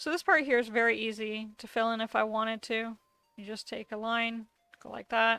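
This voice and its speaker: A woman speaks at a moderate pace with a fairly high pitch. Her intonation stays fairly even while her loudness swings widely, with music in the background. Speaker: digital art tutorial creator. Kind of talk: tutorial. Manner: casual.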